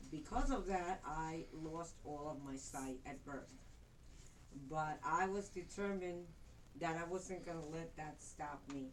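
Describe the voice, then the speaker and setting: In a room with audible echo, a woman talks at a fairly slow pace in a very deep, low voice. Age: 60s. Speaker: retired interpreter and motivational speaker. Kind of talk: prepared speech. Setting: speech club meeting with audience.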